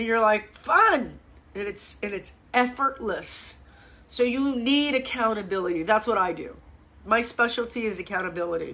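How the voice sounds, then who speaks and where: A woman with a fairly high pitch speaks at a moderate pace in an animated tone, her pitch varying in an ordinary way over noticeable background noise. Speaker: fitness coach. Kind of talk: live Q&A chat. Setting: Facebook live stream.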